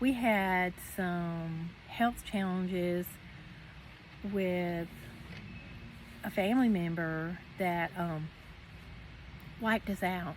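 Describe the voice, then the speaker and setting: Speaking at a very slow pace, a woman uses a medium pitch and fairly even intonation, her voice somewhat breathy. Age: 60s. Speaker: retiree vlogger. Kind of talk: casual chat. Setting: outdoors. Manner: halting.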